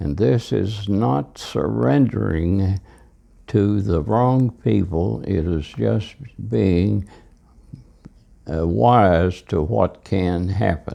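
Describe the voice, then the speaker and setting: With a very deep, low pitch and a dark, mellow tone, a man talks at a very slow pace, his pitch swinging very widely and his speech broken by long, frequent pauses. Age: 90s. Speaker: elderly father recorded by son. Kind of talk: reflective monologue. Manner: halting.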